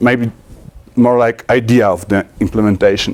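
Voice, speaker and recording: A man with a Polish accent, medium pitch and ordinary pitch variation, speaking very slowly. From Poland. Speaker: software conference speaker. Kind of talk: technical talk. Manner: halting, many fillers and restarts.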